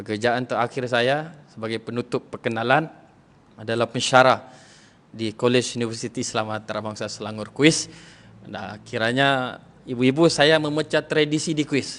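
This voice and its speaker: A man talks with a slight Sabah accent at a moderate pace. His pitch is medium, with ordinary variation. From Sabah, Malaysia (Lahad Datu). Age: 30s. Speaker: religious preacher and lecturer. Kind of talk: religious talk to women's audience. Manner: casual, relaxed.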